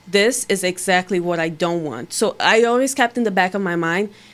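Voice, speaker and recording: A woman speaks with a Portuguese accent. Her pitch is medium and her pace moderate. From Brazil. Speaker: bikini bodybuilding competitor. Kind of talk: podcast interview answer.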